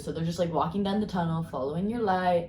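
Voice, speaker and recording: A woman talks at a fairly quick pace in a medium pitch. Noticeable background noise and audible room echo surround her. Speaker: tarot and crystal card reader. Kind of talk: card reading video. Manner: casual, rambling with fillers.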